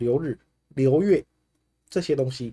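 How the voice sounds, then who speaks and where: At a moderate pace, a man speaks in an animated tone. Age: 40s. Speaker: fortune teller. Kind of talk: livestream talk. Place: home room.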